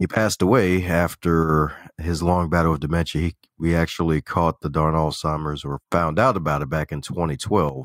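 A man with an American accent and a very deep, low pitch shows ordinary pitch variation, captured as a dry, close sound with no echo in a very clean recording with a silent background. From Baltimore, US. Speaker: author, coach, speaker and podcaster. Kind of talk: casual interview conversation. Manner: animated, humorous.

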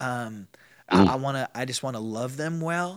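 A man speaks at a moderate pace with lively intonation and an unremarkable speaking voice. The recording is very clean, with a silent background. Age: 40s. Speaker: pastor. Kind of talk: casual interview.

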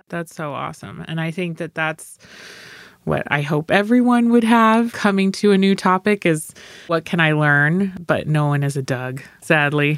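A woman with an American accent speaks at a moderate pace in an ordinary speaking voice, her fairly low pitch moving with lively intonation in a dry, close recording with no echo. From Sparks, Nevada. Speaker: county commissioner. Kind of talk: casual interview.

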